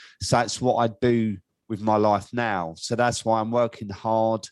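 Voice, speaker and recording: In an ordinary speaking voice, a man talks at a moderate pace with medium pitch and fairly even intonation, the sound dry and close with no echo. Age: 50s. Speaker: podcast host in alcohol recovery. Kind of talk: casual interview chat.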